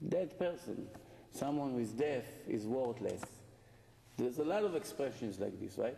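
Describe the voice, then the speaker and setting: A man's fairly high voice with lively intonation at a moderate pace, with audible room echo and light background noise. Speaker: rabbi giving a Torah lecture. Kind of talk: impassioned sermon, urging listeners on. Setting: live lecture to an evening audience. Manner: urgent, emphatic, driving repetition. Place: hall. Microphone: camera far.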